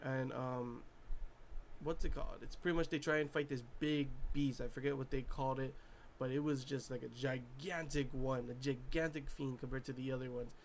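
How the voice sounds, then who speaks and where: A man mumbling at a fairly quick pace, his pitch medium for a man. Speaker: anime reviewer. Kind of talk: casual review monologue. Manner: animated.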